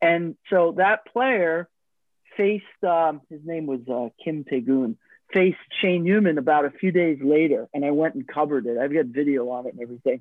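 A man speaks in an American accent with an unremarkable speaking voice at a fairly high pitch. His intonation is lively and his pace moderate. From Long Island, New York. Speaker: podcast host. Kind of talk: casual chat.

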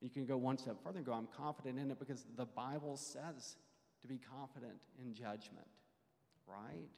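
A man talks in a normal speaking voice at a moderate pace and medium pitch, with ordinary pitch variation. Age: 40s. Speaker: church class teacher. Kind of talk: Bible class teaching.

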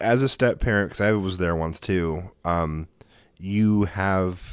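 The recording is very clean, with a silent background. A man speaks in a very deep, low pitch with ordinary pitch variation. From Oregon, US. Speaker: podcast host. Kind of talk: casual chat.

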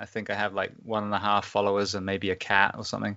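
A man with an English accent and a fairly low pitch. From England. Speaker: firefighter and podcaster. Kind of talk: interview conversation. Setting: recording from home during isolation.

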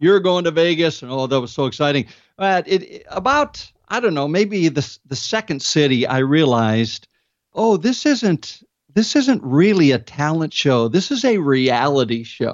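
The speaker moves at a fairly slow pace. Their pitch rises and falls very widely. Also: man, fairly high pitch for a man. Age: 60s. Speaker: comedian. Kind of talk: interview.

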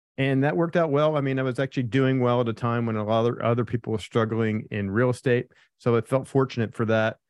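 Energetic in tone, a man of medium pitch rattles along at a very fast pace with hardly any pauses. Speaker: land investor. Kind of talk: interview.

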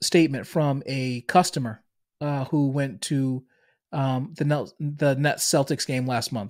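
This man speaks at a fairly slow pace with a fairly high pitch and a Boston accent, on a very clean recording with a silent background. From Boston, US Northeast. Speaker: business podcast host and coach. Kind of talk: solo monologue, business talk. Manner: filler-heavy, conversational.

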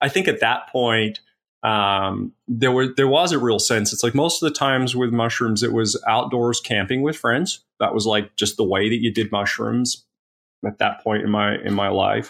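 On a very clean recording with a silent background, a man with a West Coast accent speaks at a moderate pace and medium pitch, with very even loudness and ordinary pitch variation. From born in Tasmania, Australia; raised in Eugene, Oregon from age ten. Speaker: psychedelic pharmacist. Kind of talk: interview conversation.

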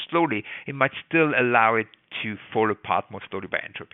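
This man speaks at a fairly quick pace in a normal speaking voice, medium-pitched, with ordinary pitch variation. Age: 60s. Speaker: biology professor. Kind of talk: interview.

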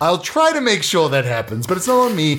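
A man's fairly high-pitched voice, fairly quick and fairly bright in tone, with very wide pitch swings.

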